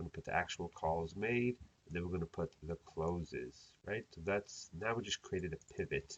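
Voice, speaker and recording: A man speaks with a fairly low pitch and lively intonation, his somewhat breathy voice recorded dry and close with no echo. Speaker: accountant teaching software tutorials. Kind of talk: tutorial. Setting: screen recording. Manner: fast.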